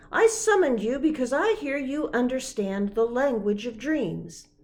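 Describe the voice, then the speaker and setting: High-pitched put-on character voice from a woman, moderately paced, its pitch swinging very widely. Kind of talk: bedtime story. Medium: read story.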